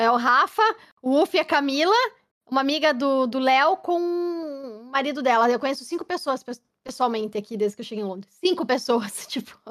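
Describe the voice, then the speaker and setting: Lively intonation marks this moderate-paced voice with a southern Brazilian accent. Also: woman, high pitch for a woman. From Curitiba, southern Brazil. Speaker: game streamer. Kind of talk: casual chat. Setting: live stream podcast.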